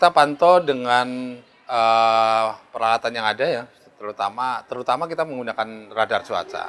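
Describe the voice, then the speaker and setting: A man's medium-pitched voice shows ordinary pitch variation as he goes along at a moderate pace. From Central Java (Banjarnegara); Central Java. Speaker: head of a meteorological station; guest. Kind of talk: interview. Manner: halting, many fillers. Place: shop. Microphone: lapel.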